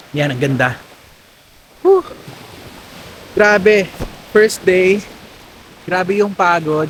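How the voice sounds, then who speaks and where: At a very slow pace, a man speaks at a high pitch with long, frequent pauses. Noticeable background noise sits behind him. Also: ordinary pitch variation. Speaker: travel vlogger. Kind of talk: casual vlog narration. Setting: outdoors on a beach. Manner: animated; loud. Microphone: no mic, camera mic only.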